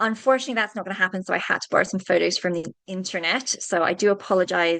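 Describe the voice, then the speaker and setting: A woman with a British accent and a bright, sharp tone, at a medium pitch and very fast pace, with ordinary pitch variation over a quiet background. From UK. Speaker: veterinarian. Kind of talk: webinar presentation.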